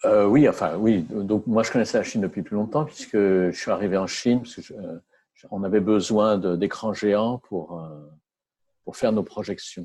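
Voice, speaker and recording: Over a quiet background, a man with a fairly low pitch and ordinary pitch variation speaks at a moderate pace with big swings in loudness. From France. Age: 60s. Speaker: entrepreneur. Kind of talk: interview. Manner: halting.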